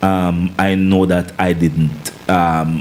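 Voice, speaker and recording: A man's voice amid noticeable background noise. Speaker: singer and former soldier. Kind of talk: interview chat. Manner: loud; commanding.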